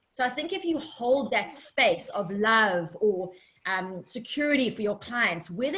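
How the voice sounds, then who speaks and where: A woman with an unremarkable speaking voice, fairly high in pitch, with lively intonation. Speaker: online coach running a pitch video challenge. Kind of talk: live group coaching session.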